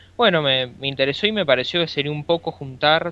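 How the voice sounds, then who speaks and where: This is a man speaking at a medium pitch. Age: 20s. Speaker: podcast co-host. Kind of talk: casual chat. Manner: halting.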